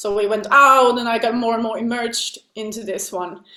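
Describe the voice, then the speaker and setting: In a Finnish accent, a woman with a fairly high, bright, sharp voice speaks at a moderate pace with ordinary pitch variation. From Finland. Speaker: metal singer. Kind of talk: interview.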